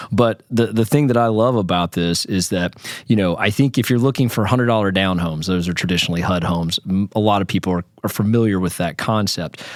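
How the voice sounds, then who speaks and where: A man speaks at a very fast pace with hardly any pauses. His pitch is fairly low and varies in an ordinary way. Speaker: podcast host. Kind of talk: interview.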